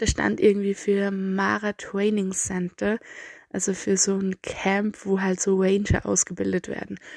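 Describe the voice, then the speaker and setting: A woman speaks fairly slowly in an Austrian accent at a medium pitch, her intonation monotone and flat. The sound is dry and close with no echo. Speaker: travel podcaster. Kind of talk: storytelling monologue.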